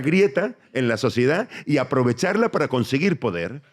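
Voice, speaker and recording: Very wide pitch swings from a man at a moderate pace, very clean recording, silent background. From Tenerife, Canary Islands. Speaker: comedian. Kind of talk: live podcast interview answer. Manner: rambling, reflective monologue.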